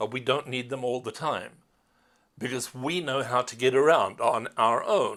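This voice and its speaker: Ordinary pitch movement in a male voice of medium pitch. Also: moderate pace. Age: 60s. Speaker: tour company CEO and tour host. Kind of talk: promotional monologue. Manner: halting.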